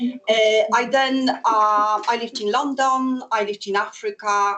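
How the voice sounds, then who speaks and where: This is a woman speaking. She has a Polish accent. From Poland. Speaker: public health project coordinator. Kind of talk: presentation. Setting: in-person talk with audience, recorded.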